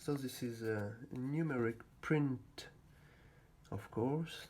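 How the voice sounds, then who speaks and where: A non-native accent at a very slow pace. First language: not English. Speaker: hand-made card replica seller. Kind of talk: product unboxing demo. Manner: halting.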